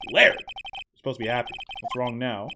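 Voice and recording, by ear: A man uses a put-on character voice at medium pitch, with vocal fry and a bright, sharp tone. His intonation is lively and his pace fairly quick.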